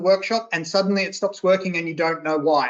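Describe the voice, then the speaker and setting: Here a woman talks at a fairly quick pace. She has an Australian accent. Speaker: workshop trainer. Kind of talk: online training session. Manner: casual, conversational.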